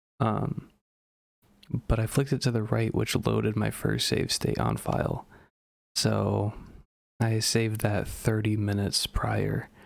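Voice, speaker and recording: Quiet and at a moderate pace, a man speaks. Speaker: gaming commentator. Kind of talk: casual gameplay commentary. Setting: at home.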